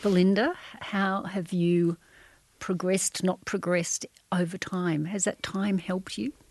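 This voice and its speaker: A woman with an Australian accent speaks at medium pitch and a fairly slow pace, her intonation fairly even. The sound is dry and close, with no echo. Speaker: journalist and podcast facilitator. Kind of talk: interview. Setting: studio.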